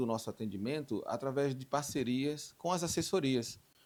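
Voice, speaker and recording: Against a silent background in a very clean recording, a man has an ordinary speaking voice at a medium pitch. He talks at a moderate pace with lively intonation. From Brazil, Recife (Northeast). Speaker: insurance industry association leader. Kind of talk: interview.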